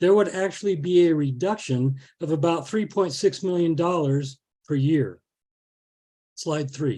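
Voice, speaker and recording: The man has a dark, mellow tone that is somewhat breathy, with lively intonation. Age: 70s. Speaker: botanist speaking against a ballot measure. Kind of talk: public forum presentation.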